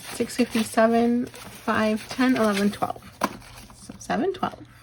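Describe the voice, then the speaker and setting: Her pitch is fairly high as a woman speaks at a fairly slow pace. Noticeable background noise runs underneath. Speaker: budgeting vlogger. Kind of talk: casual tutorial while counting cash.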